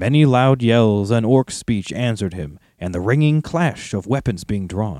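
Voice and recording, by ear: The text is read aloud in a natural voice whose intonation is lively.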